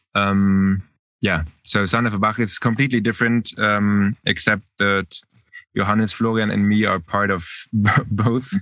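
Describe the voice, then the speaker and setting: A man with a German accent, fairly low-pitched, bright and sharp in tone, at a fairly slow pace with fairly even intonation and very even loudness against a quiet background. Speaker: singer. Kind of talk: interview. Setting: remote call. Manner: halting.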